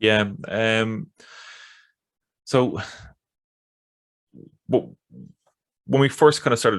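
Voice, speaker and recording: A man with an Irish accent speaks at a very slow pace, with long, frequent pauses. His medium pitch shows ordinary variation. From Ireland. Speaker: podcast guest, occult researcher and witch. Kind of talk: podcast interview answer. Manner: soft-spoken.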